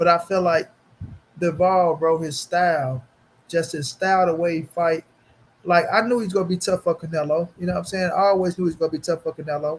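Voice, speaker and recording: A man's high-pitched voice at a fairly quick pace. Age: 30s. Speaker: boxing YouTuber. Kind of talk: casual live stream chat. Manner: animated.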